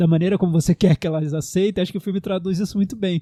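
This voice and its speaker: A man with a high pitch and a dark, mellow tone is heard in a dry, close recording with no echo, very clean against a silent background. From Brasília, Brazil. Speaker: film podcast host. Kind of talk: casual film discussion.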